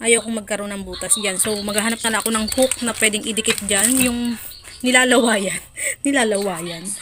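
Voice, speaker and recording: Noticeable background noise sits behind a woman speaking at a fairly quick pace. Her pitch is fairly high and her intonation fairly even. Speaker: vlogger and sari-sari store owner. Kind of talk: casual vlog.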